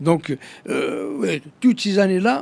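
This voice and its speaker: A man with an Algerian accent speaks with lively intonation. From Algeria (Kabylie). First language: Kabyle (speaking French). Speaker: political activist. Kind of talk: interview. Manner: halting, many fillers and repetitions.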